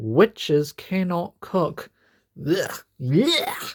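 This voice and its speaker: A female-sounding put-on character voice with fairly low pitch for a woman. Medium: read story. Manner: wheedling and cunning.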